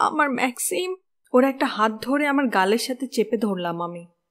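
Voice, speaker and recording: Her voice sits at a high pitch. This woman's pitch swings very widely. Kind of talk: audiobook narration.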